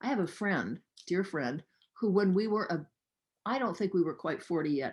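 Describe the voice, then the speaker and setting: A medium-pitched woman with lively intonation at a moderate pace, over a quiet background. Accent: Californian. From US West Coast, Los Angeles. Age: 70s. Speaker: talk show host, interviewee. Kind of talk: interview conversation. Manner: conversational, storytelling.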